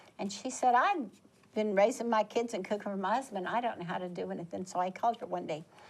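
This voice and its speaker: This woman speaks at a very fast pace with ordinary pitch variation, and noticeable background noise runs beneath her. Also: medium pitch for a woman. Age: 70s. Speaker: volunteer. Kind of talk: casual chat.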